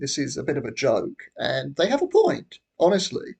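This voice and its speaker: Here a man talks at a moderate pace. He has a British accent. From Britain. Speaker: YouTuber. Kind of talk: casual monologue. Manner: halting.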